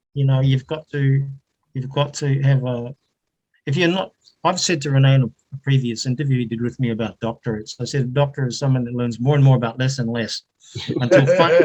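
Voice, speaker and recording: Somewhat breathy, a man with a New Zealand accent talks at a fairly quick pace and medium pitch with fairly even intonation. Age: 70s. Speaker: retired academic with doctorate. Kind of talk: casual online interview.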